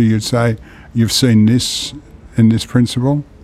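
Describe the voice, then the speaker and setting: A man talks with an Australian accent. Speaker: podcast host. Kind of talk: interview.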